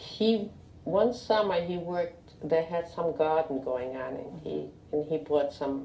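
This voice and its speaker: A woman's very deep, low voice in a Russian accent, with lively intonation at a fairly slow pace amid noticeable background noise. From Lithuania. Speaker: Holocaust survivor. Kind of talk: oral history interview. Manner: halting.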